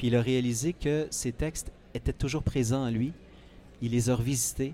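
A man's voice of medium pitch, dark and mellow in tone, at a moderate pace with fairly even intonation. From Quebec, Eastern Townships. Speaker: author. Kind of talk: interview. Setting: book fair, live on site.

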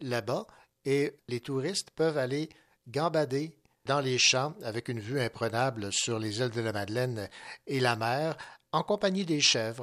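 On a very clean recording with a silent background, a plain, everyday voice speaks with ordinary pitch variation. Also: man. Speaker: radio host. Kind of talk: radio book show hosting.

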